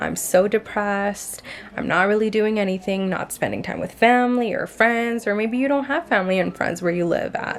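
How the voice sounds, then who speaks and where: With music in the background, a woman talks at a medium pitch with fairly even intonation. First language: not English. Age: 20s. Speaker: lifestyle vlogger. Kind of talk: casual vlog monologue.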